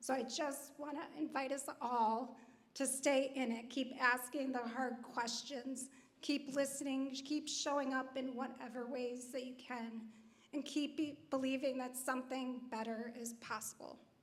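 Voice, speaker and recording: A woman's high voice in a flat monotone at a fairly slow pace, with audible room echo. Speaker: nonprofit leader on a panel. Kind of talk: panel discussion remarks. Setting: church hall event with audience.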